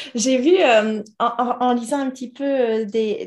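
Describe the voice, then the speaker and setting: Against a quiet background, a woman speaks with a dark, mellow tone, a somewhat breathy quality, and fairly even intonation. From Toulouse, southern France. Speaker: podcast host, guest house owner. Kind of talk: interview.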